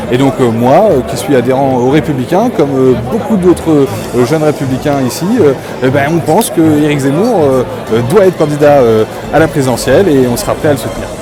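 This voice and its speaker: Music plays in the background and the room echo is audible. A man talks at a fairly quick pace in a fairly high pitch with ordinary pitch variation. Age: 30s. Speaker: political spokesperson. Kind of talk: interview. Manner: hesitant, many filler sounds.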